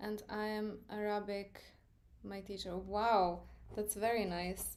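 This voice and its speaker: A woman talks very slowly with an Serbian accent and monotone, flat intonation. Room echo is audible. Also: medium pitch for a woman. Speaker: art teacher. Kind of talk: live stream tutorial. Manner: casual, filler-heavy.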